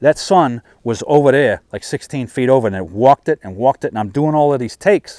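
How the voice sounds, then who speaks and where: Recorded very cleanly against a silent background, a man's voice has a dark, mellow tone and a dry, close sound with no echo. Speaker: firearms instructor. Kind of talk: casual talk to camera. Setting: outdoors.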